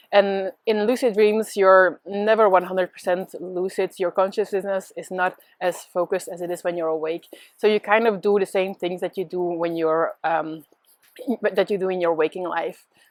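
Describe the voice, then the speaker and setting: With a Dutch accent, a woman speaks at a moderate pace and medium pitch with fairly even intonation, the sound dry and close with no echo. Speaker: spiritual teacher. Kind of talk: casual monologue. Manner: hesitant with many fillers.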